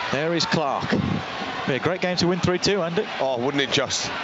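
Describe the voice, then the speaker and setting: A man shouts in a passionate tone at a moderate pace, the sound dry with no echo and noticeable background noise. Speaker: co-commentator, club pundit and fan. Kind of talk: live football co-commentary, emotional fan-style reaction and analysis. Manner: excitable, passionate, shouting and laughing at the equaliser.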